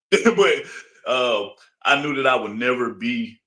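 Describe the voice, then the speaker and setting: Talking with an Alabama accent, a man has a bright, sharp tone, a moderate pace, and ordinary pitch variation. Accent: US Southern (Alabama). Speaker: interview guest. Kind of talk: casual interview.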